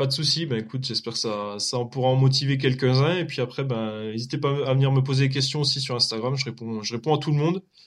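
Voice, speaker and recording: Very fast speech from a man at medium pitch, fairly even in intonation, with hardly any pauses. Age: 30s. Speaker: real estate investor. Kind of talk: casual chat. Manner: halting.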